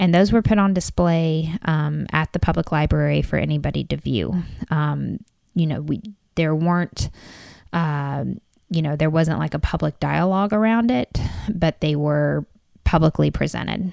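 A woman with an Appalachian accent talks at a moderate pace. The recording is very clean, with a silent background. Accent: Appalachian Southern American. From Corbin, Kentucky (Appalachia). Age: 30s. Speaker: local resident. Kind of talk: casual interview.

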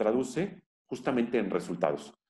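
A man talks at a fairly slow pace with vocal fry and a dark, mellow tone. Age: 40s. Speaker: labor lawyer and university professor. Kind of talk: interview.

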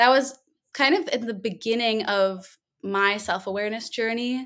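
With an American accent, a woman speaks in an unremarkable speaking voice at a fairly slow pace and a fairly high pitch. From Minnesota, US Midwest. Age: 20s. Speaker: yoga and breathwork teacher. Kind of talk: casual interview.

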